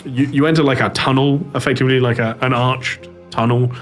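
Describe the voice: Simply plain reading aloud.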